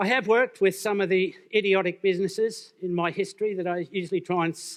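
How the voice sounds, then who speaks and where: Over a quiet background, a man with a high pitch speaks at a moderate pace with fairly even intonation. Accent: Australian. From Australia. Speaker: business speaker. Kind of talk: conference talk.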